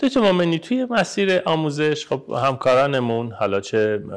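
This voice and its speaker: The background stays quiet while a man speaks with lively intonation. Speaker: periodontist. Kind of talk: podcast interview host. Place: home room.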